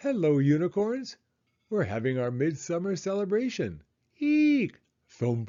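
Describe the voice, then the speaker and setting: A man puts on a squeaky character voice with high pitch. He talks at a fairly slow pace with very wide pitch swings. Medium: read story.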